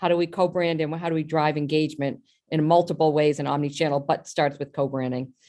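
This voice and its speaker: Speaking with an American accent, a woman keeps a fairly quick pace. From Boston. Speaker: health company executive. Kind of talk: panel discussion. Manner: fast.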